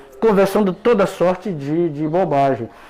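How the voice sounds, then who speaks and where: Lively in intonation and dark, mellow in tone, a man speaks at a fairly slow pace. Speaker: former computer teacher. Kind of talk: interview. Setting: radio studio. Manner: halting, repeats words.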